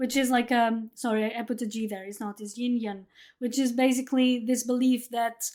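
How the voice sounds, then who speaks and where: In a very clean recording with a silent background, a woman speaks in a Portuguese accent. Her pitch is high, her pace fairly quick, and her intonation monotone and flat. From Portugal. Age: 30s. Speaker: podcast host. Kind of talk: casual chat. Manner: halting, many repetitions.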